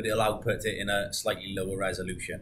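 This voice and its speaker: A man speaks. Light background noise sits behind him. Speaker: product reviewer. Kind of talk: product demo talk. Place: shop. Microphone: webcam.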